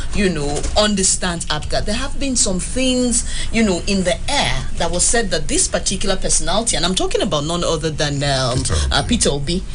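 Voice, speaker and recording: A woman at medium pitch, fairly quick and with hardly any pauses, her pitch swinging very widely while her loudness stays very even, over noticeable background noise. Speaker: radio host. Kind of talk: radio interview questions.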